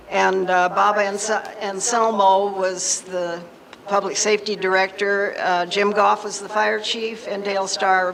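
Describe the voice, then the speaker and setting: With noticeable background noise behind her, a woman talks at a fairly slow pace in a monotone, flat intonation. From Nevada, Henderson. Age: 70s. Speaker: retired fire department secretary. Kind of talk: public talk.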